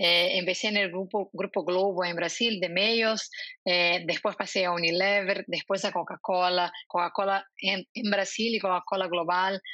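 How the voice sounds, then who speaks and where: A woman with a Portuguese accent talks at a fairly slow pace with hardly any pauses. Her intonation is monotone and flat, her loudness very even. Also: medium pitch for a woman. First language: Portuguese (speaking Spanish). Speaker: marketing executive. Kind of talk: interview.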